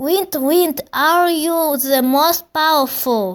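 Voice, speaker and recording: In a put-on character voice pitched high, a woman talks at a very slow pace. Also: very clean recording, silent background. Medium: read story. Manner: repetitive, pleading.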